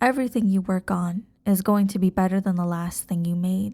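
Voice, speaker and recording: At a moderate pace, a woman with a medium pitch talks in a gentle, somewhat breathy tone on a very clean recording with a silent background. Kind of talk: ASMR girlfriend roleplay. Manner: gentle, reassuring.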